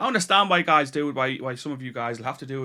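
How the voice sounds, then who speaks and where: Talking at a very fast pace with a bright, sharp tone, a man speaks with a northeast English accent in a very clean recording with a silent background. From northeast England (Tyneside). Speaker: YouTuber, delivery driver and online retailer. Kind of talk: casual vlog talk to camera. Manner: hesitant, many repetitions.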